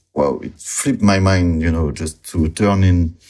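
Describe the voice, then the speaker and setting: A man with a French accent speaks in a very deep, low pitch with a dark, mellow tone. His intonation stays fairly even against a quiet background. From southwest France, near Bordeaux. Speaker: illustrator. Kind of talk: interview. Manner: halting, many fillers.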